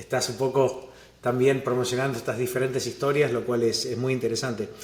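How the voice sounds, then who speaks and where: A man with an Argentine accent talks at a fairly quick pace, sounding somewhat breathy. Room echo is audible. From Argentina, Buenos Aires. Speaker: venture capital investor. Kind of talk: interview.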